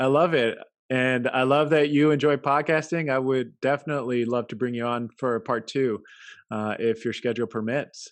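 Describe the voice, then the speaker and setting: In an ordinary speaking voice, a man with a medium pitch talks at a moderate pace with fairly even intonation over a quiet background. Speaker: podcast host. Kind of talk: interview.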